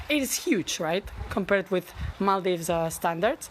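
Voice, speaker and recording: Through noticeable background noise, a woman talks at a medium pitch and a moderate pace. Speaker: travel vlogger. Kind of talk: casual room-tour walkthrough. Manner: animated; loud.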